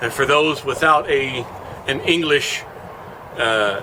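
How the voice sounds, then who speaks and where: A man talks at a fairly high pitch through audible room echo and noticeable background noise. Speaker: book reviewer. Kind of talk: casual review. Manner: halting, many fillers.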